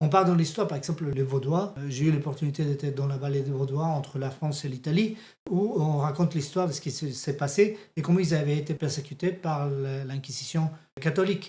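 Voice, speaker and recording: A man with a slight non-native accent talks at a fairly quick pace, his fairly high voice somewhat breathy and dark, mellow in tone. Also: ordinary pitch variation. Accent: slight foreign accent in French. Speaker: theology teacher. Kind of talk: bible teaching lesson. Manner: halting.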